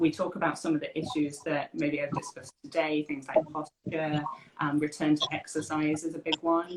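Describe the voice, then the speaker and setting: With a British accent, a woman talks in a monotone, flat intonation at a very deep, low pitch. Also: moderate pace. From UK. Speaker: occupational therapist. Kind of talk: interview.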